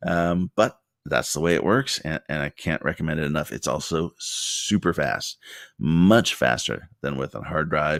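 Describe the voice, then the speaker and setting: In a very clean recording with a silent background and a dry, close sound with no echo, a man with a very deep, low pitch and vocal fry speaks at a fairly slow pace with ordinary pitch variation. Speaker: business owner making tutorial videos. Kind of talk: tutorial. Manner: casual, many filler words.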